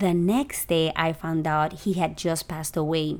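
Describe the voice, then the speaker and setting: A woman with an unremarkable speaking voice, fairly low in pitch, at a fairly slow pace with fairly even intonation. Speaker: podcast host and photographer. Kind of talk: casual interview chat. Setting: video call.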